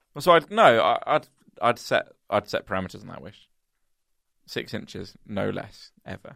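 Big swings in loudness, long and frequent pauses, and a dry, close sound with no echo. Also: man. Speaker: comedy podcast co-host. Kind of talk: casual chat. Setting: office. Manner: fast.

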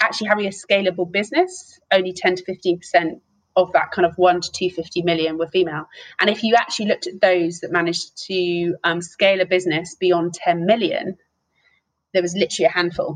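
The speaker has a southern English accent, a fairly quick pace and fairly even intonation. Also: woman, medium pitch for a woman. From England, Hertfordshire. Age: 30s. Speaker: business executive. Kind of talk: interview.

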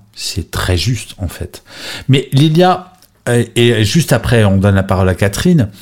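With long, frequent pauses, a man at a medium pitch talks at a fairly slow pace, somewhat breathy, his pitch swinging very widely. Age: 50s. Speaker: podcast host and moderator. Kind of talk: moderated group discussion on audio app. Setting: live audio chat room, replay. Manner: animated, enthusiastic.

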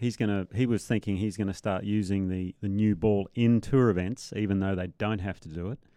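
With an Australian accent, a man speaks at a fairly low pitch and a fairly quick pace, his intonation fairly even and hardly any pauses. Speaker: podcast co-host, former professional golfer. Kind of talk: casual chat.

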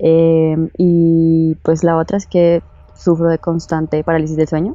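A woman's voice at a fairly low pitch. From Bogotá, Colombia. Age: 20s. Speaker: guest sharing paranormal experience. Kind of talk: testimony.

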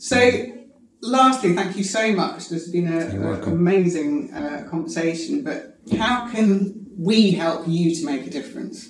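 Amid noticeable background noise and audible room echo, a woman with a fairly low pitch moves at a fairly slow pace through very wide pitch swings. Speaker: podcast host. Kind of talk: interview. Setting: noisy room. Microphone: poor audio quality.

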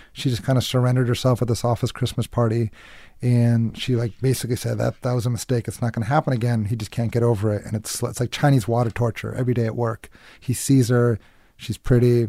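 A somewhat breathy voice with a dark, mellow tone speaks at a very fast pace in a monotone, flat intonation, on a very clean recording with a silent background. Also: man, medium pitch for a man. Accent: American. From Massachusetts. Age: 30s. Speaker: actor and filmmaker. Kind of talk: casual chat.

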